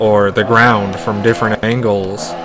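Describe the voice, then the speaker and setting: A man speaks with music in the background. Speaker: game streamer. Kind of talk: live gameplay commentary. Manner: monotone. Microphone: microphone issues.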